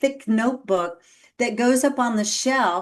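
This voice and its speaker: A woman's voice sits high in pitch and shows ordinary pitch variation. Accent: Texan. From Texas. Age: 50s. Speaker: executive coach. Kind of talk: podcast interview.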